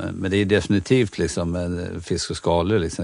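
Fairly even in intonation, a man talks with a very deep, low pitch. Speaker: chef and restaurateur. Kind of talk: interview.

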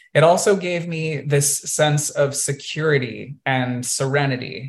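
A man's somewhat breathy voice sits at a fairly high pitch with ordinary pitch variation. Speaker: podcast host and multidisciplinary artist. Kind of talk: illustrated presentation to a virtual audience, personal storytelling. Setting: video call. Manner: conversational with frequent um and uh fillers.

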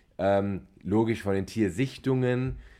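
A man's dark, mellow voice with ordinary pitch variation, over a quiet background. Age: 30s. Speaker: podcast co-host. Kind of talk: casual chat.

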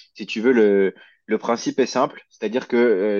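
Moderately paced speech from a man with a fairly low pitch. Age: 20s. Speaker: fitness coach. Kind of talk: interview. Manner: halting, many fillers.

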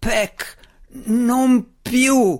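A guttural put-on character voice pitched fairly high. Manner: stammering, regretful.

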